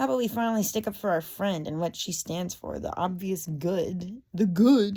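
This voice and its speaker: Somewhat breathy and dark, mellow in tone, a woman speaks at a medium pitch. Her pace is moderate, with ordinary pitch variation. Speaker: online commentator. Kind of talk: casual political rant. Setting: lying in bed. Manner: halting, with frequent fillers and repetitions.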